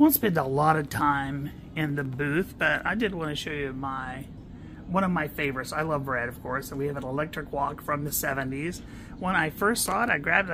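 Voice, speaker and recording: Noticeable background noise sits behind the speech. The pace is fairly quick. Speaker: antique booth vendor. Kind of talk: casual vlog chat. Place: shop. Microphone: phone near.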